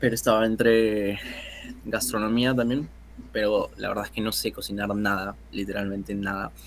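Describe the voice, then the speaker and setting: Speaking at a moderate pace, a man delivers his words in a fairly low pitch with a monotone, flat intonation. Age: 20s. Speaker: photographer and filmmaker. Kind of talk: casual interview chat. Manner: hesitant, many fillers.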